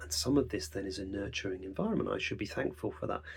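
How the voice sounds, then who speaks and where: A man's somewhat breathy voice with very wide pitch swings. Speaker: songwriter podcaster. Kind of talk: reflective podcast monologue. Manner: fast.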